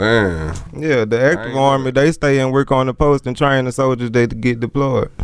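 A man with a Mississippi accent speaks at a moderate pace with hardly any pauses, a medium pitch and ordinary pitch variation. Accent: US South (Mississippi). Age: 30s. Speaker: rapper. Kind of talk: casual chat.

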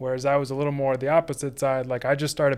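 Very fast and flat in a monotone, a man talks with a Southern US accent. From US South, Sumter, South Carolina. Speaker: furniture maker. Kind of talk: interview. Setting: studio.

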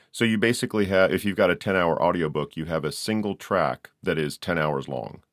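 With a very deep, low pitch and vocal fry, a man talks at a fairly quick pace with lively intonation and hardly any pauses. The recording is very clean and silent in the background, dry and close with no echo. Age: 50s. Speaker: podcast host and audiobook narrator. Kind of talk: casual interview chat.

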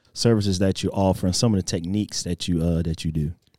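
A man with a Southeast Texas accent speaks at a fairly quick pace, his pitch very deep and low. His tone is dark and mellow, with ordinary pitch variation. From Texas, Port Arthur. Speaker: fitness podcast host. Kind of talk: casual podcast interview.

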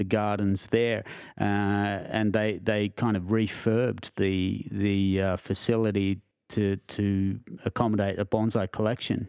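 A man with an Australian accent talks at a fairly slow pace in a fairly low pitch, his intonation monotone and flat and his loudness very even. The recording is very clean with a silent background, and the sound is dry and close with no echo. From Australia, Canberra. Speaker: bonsai collection curator. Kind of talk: casual interview. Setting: in person, Canberra.

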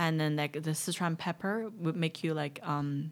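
A woman speaks with a Chinese accent at a very deep, low pitch. The recording is very clean, with a silent background. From southwest China. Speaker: stand-up comedian. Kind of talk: casual chat.

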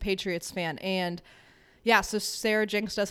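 A woman's unremarkable speaking voice at medium pitch, with an American accent, a moderate pace and fairly even intonation. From Connecticut, New England. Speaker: social worker. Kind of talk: casual chat.

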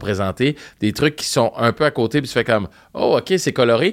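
The recording is very clean, with a silent background. A man with an ordinary speaking voice and medium pitch talks at a fairly slow pace with ordinary pitch variation. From Montreal, Quebec (Park Extension). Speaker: radio host and podcaster. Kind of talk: casual chat. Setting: studio.

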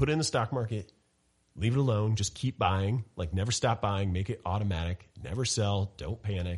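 A man's somewhat breathy, fairly low voice at a moderate pace, with ordinary pitch variation over a quiet background. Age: 30s. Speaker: financial commentator. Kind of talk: casual chat.

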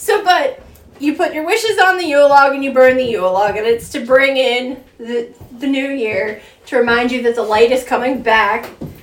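A woman with a high pitch talks at a moderate pace with lively intonation against noticeable background noise. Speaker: co-host telling folklore. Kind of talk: casual storytelling chat.

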